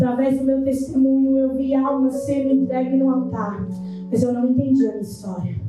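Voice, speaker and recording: In a room with audible echo, a woman with a high pitch speaks at a moderate pace. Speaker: preacher. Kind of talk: testimony.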